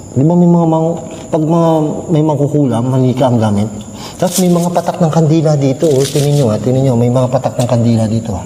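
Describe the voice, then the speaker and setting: A man talks very fast in a fairly high voice, with ordinary pitch variation and very even loudness. Room echo and noticeable background noise are audible. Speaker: paranormal mukbang vlogger. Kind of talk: solo ghost-hunting vlog with eating. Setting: inside a dark church.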